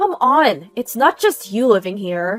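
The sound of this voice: With faint music in the background, a woman does a put-on character voice at a fairly high pitch, with big pitch swings and a slow pace.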